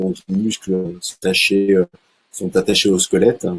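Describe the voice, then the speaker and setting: A man at a moderate pace with a fairly low pitch. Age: 60s. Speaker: martial arts instructor and sports coach. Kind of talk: online talk with slideshow. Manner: halting, many fillers and repetitions.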